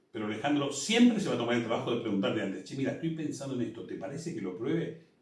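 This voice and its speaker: Talking at a very fast pace, a man with a fairly high pitch makes very wide pitch swings amid audible room echo. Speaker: musical theatre director. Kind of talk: interview.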